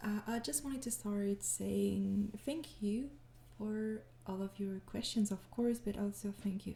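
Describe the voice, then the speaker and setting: A woman with a French accent speaks at a very slow pace. Her tone is dark and mellow and somewhat breathy. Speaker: ASMR audio creator. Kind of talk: casual Q&A talk to listeners.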